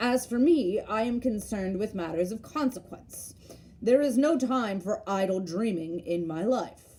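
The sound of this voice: This is an unforced reading voice. The text is read without strain.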